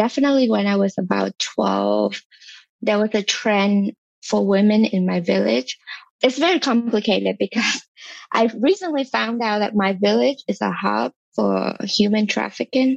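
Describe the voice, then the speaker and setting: A woman speaks with a Vietnamese accent at a very even loudness. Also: moderate pace, dry, close sound with no echo. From southern Vietnam. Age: 30s. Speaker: skincare content creator. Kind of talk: interview.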